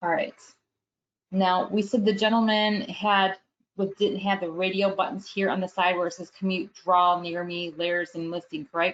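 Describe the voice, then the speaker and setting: A woman at a medium pitch with an unremarkable speaking voice, moderate pace and fairly even intonation. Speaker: real estate app trainer. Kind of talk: webinar tutorial. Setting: live webinar.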